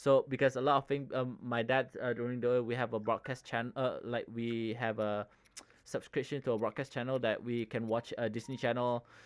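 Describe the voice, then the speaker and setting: A man with a Malaysian accent talks at a moderate pace and medium pitch. His intonation is monotone and flat. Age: 30s. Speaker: gaming streamer. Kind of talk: casual chat. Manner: halting, many fillers.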